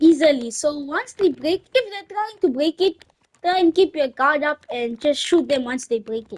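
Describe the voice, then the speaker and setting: The sound is dry and close with no echo as a woman with a non-native accent talks. She goes at a moderate pace with lively intonation. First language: not English. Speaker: gaming YouTuber. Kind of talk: gameplay tutorial. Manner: halting, many restarts.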